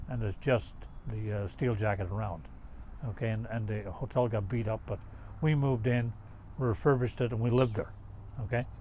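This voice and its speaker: Somewhat breathy and dark, mellow in tone, a man's medium-pitched voice moves at a fairly quick pace with ordinary pitch variation and long, frequent pauses. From Newfoundland, Canada. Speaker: army veteran, peacekeeper. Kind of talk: interview.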